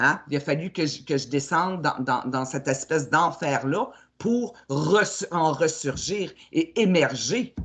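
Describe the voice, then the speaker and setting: Her pitch very deep and low, a woman speaks at a very slow pace with lively intonation. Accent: Quebec. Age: 60s. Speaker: spiritual coach. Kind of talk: casual chat. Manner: halting.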